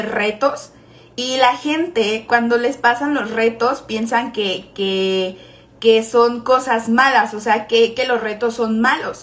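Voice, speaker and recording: Against noticeable background noise, a woman with a Mexican accent speaks at a high pitch and a fairly slow pace. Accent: Mexican Spanish (Jalisco). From Mexico, Guadalajara. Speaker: network marketing team leader. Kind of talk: motivational live stream talk. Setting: live stream.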